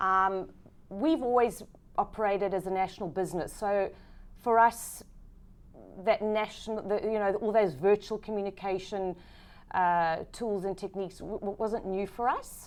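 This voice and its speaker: A woman with a South African accent, medium pitch, ordinary pitch variation and a moderate pace, on a very clean recording with a silent background. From South Africa, Johannesburg. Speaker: business executive. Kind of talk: interview.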